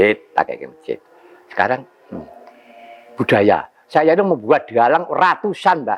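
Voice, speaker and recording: A man speaks at a fairly slow pace with long, frequent pauses. His loudness swings widely over noticeable background noise. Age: 70s. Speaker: puppet master (dalang). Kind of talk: interview answer. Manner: energetic, spirited.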